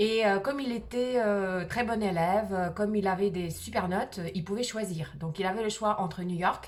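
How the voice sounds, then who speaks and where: A woman of medium pitch with a slight Swiss accent speaks at a moderate pace with ordinary pitch variation and hardly any pauses. Noticeable background noise and audible room echo surround her. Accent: very slight accent in French, hint of Swiss. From Soviet Union (Moscow). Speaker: video blogger. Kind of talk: personal storytelling vlog. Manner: hesitant, many fillers.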